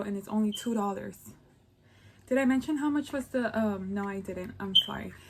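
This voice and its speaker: A woman with an American accent speaks at a fairly quick pace and a fairly high pitch. Her voice is somewhat breathy, with ordinary pitch variation. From Los Angeles. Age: 20s. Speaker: beauty vlogger. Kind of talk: casual makeup review to camera.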